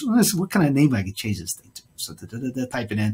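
Male speaker, fairly quick pace, with an American accent. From US South, South Carolina (Spartanburg); South Carolina. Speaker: podcast host. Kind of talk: testimony. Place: home room. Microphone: webcam.

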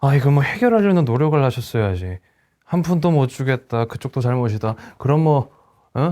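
A man's fairly high voice with a dark, mellow tone, lively intonation, very even loudness and a fairly quick pace. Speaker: actor performing a monologue. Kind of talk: acted monologue, heated argument. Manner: sharp, clipped, sarcastic, exasperated and raising the volume; rapid-fire, confrontational, rising in intensity.

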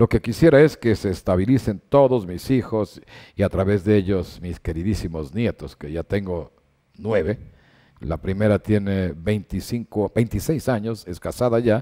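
This man has a fairly low voice with a dark, mellow tone. The background is quiet. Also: ordinary pitch variation, fairly slow pace. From Ecuador. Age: 70s. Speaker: sports journalist. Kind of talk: interview. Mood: warm, reflective about family. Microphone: headset.

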